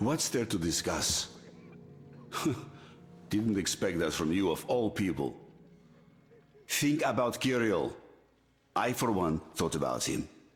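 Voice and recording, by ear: A put-on character voice moves at a slow pace with big pitch swings and long, frequent pauses. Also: man, low pitch for a man.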